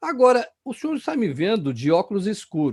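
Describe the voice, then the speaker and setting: A man speaks at a fairly slow pace with a dark, mellow tone and very wide pitch swings against a quiet background. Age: 50s. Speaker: youtube interviewer. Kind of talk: interview.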